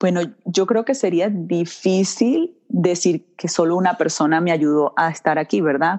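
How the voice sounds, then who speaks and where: The speaker has a Venezuelan accent and a dark, mellow tone. The pace is fairly slow, with ordinary pitch variation. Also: woman. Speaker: dental hygienist. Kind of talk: interview. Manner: warm, enthusiastic.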